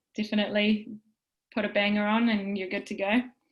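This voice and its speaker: With a New Zealand accent, a woman talks at a fairly quick pace in a fairly high, somewhat breathy voice. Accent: New Zealand, stronger lately. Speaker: wellbeing presenter. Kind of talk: casual chat.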